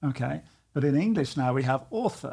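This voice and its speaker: In a very clean recording over a silent background, a man with a British accent speaks at a moderate pace and a fairly high pitch. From United Kingdom. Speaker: coach and author. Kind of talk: casual conversation.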